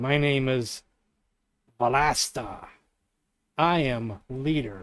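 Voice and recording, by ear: Using a put-on character voice, a man talks at a very slow pace with a medium pitch.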